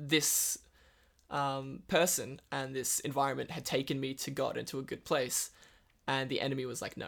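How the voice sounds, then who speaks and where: This man speaks with an Australian accent at a medium pitch. His intonation stays monotone and flat. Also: moderate pace. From northern Western Australia. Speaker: recovering addict sharing his story. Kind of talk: testimony.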